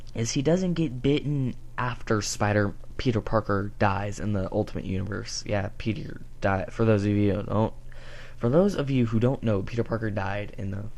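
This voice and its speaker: Audible echo from the room can be heard. The pace is moderate and the pitch varies in an ordinary way. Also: man, fairly low pitch for a man. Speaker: comic book reviewer. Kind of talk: casual review monologue. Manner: halting, stuttering.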